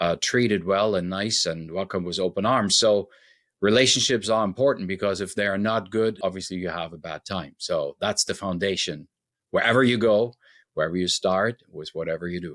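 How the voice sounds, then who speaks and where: On a very clean recording with a silent background, a man with a German accent speaks at a moderate pace, his fairly low pitch showing ordinary variation. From Germany. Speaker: relationship expert. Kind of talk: interview podcast.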